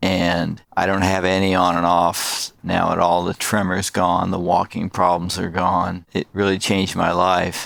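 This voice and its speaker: A man's very deep, low voice in a monotone, flat delivery. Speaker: person living with Parkinson's disease. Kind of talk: testimony.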